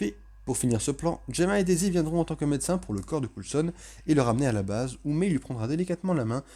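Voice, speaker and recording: A man's fairly high voice, very fast, with a dark, mellow tone and lively intonation. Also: very clean recording, silent background. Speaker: TV series reviewer. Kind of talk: video review with plot recap. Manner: self-correcting, restarts words.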